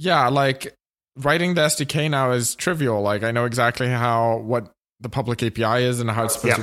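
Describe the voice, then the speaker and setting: A man talks at a moderate pace, medium in pitch, with ordinary pitch variation. It is an ordinary speaking voice. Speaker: podcast co-host. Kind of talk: casual chat.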